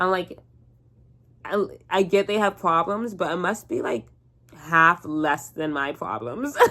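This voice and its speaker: A woman talks at a fairly slow pace with long, frequent pauses. Her tone is bright and sharp, and her intonation is lively. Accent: Southern Californian. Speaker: vlogger. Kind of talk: casual chat. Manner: casual, filler-heavy speech.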